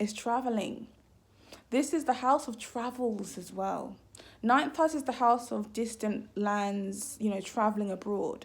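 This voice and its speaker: A woman's fairly high voice in a British accent, fairly slow in pace, with ordinary pitch variation. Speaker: astrologer. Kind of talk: casual vlog talk. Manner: trips over words.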